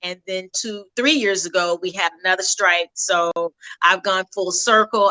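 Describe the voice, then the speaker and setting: A woman's voice at a moderate pace, dry and close with no echo. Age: 50s. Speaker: educator and culinary nutritionist. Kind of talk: interview. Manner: halting.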